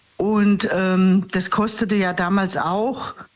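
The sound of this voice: Audible room echo surrounds a woman speaking at a medium pitch.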